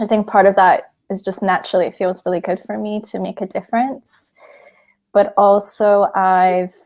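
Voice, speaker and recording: Against a quiet background, a woman with a Canadian accent speaks at a moderate pace. Her medium-pitched delivery is monotone and flat. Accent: Canadian, noticeable to British listeners. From Canada. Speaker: psychologist and film producer. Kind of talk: interview conversation.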